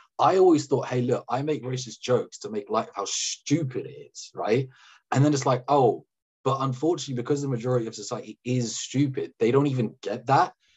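A man with a British accent talks at a fairly quick pace in a medium pitch, somewhat breathy. His loudness swings widely while his pitch varies in an ordinary way. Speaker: data scientist. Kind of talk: casual chat. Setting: video call. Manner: fast, repetitive fillers.

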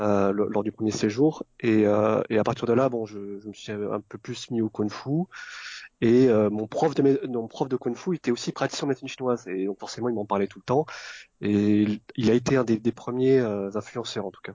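At a moderate pace, a man speaks at a medium pitch with ordinary pitch variation and big swings in loudness. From born in Vietnam, Vietnamese parents, raised in France. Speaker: Chinese medicine practitioner. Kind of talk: interview. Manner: halting.

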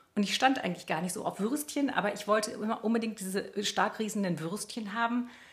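Noticeable background noise sits behind fairly quick speech with hardly any pauses and ordinary pitch variation. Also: woman, fairly high pitch for a woman. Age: 50s. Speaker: journalist and podcast co-host. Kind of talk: casual chat.

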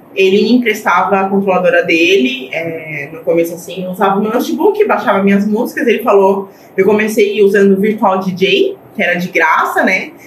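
Amid noticeable background noise and audible room echo, a woman speaks at a medium pitch and a moderate pace. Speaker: DJ. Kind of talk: casual chat.

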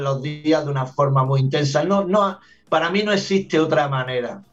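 At a moderate pace, a man talks in a fairly high, somewhat breathy voice. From Andalusia, Granada (southern Spain). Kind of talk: radio interview.

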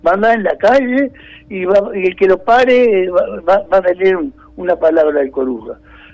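His pitch sits high for a man. The man's pitch varies in an ordinary way. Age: old. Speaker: COVID-19 survivor. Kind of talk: phone interview. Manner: halting.

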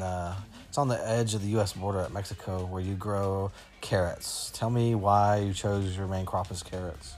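A man with an unremarkable speaking voice talks at a moderate pace, his fairly low pitch held in fairly even intonation. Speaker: podcast host. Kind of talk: casual interview with a child and puppets. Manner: playful, joking.

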